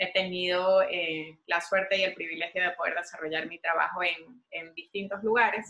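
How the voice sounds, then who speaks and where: A woman speaks at medium pitch in a monotone, flat intonation. Her moderate pace has hardly any pauses. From Venezuela. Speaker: visual artist. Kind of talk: interview.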